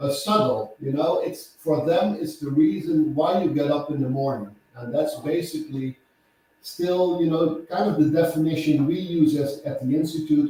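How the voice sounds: A man with a Dutch accent talks at a moderate pace in a fairly high pitch with a dark, mellow tone. His pitch variation is ordinary, and audible room echo surrounds him.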